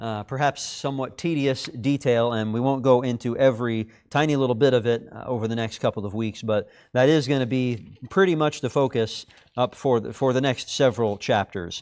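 Talking at a fairly quick pace, the man lets his pitch vary in an ordinary way. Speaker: class teacher. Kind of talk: announcements before a Bible class lesson. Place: classroom.

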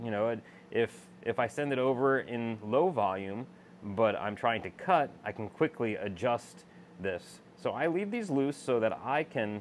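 A man at a fairly slow pace with lively intonation, over light background noise. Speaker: laser machine user demonstrating. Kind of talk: tutorial. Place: workshop. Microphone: phone near.

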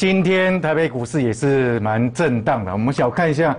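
A man's voice at a fairly slow pace, with very wide pitch swings. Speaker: stock market analyst. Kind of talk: market commentary. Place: studio. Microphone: lapel.

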